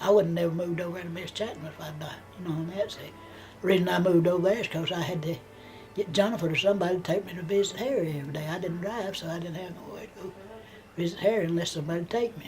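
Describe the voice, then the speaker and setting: Music plays in the background as a woman with a Southern US accent speaks at a very fast pace with fairly even intonation, and the room echo is audible. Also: fairly low pitch for a woman. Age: 80s+. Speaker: grandmother telling her life story. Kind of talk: family oral history interview. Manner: halting, repeating words.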